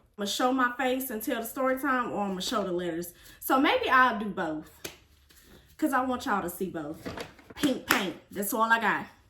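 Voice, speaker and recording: A woman with an American accent speaks in a fairly high pitch with lively intonation over noticeable background noise. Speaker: vlogger. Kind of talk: storytime vlog. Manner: casual, animated.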